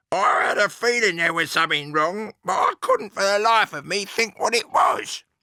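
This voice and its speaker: A man uses a put-on character voice at a high pitch, speaking at a moderate pace with ordinary pitch variation and hardly any pauses. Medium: read story.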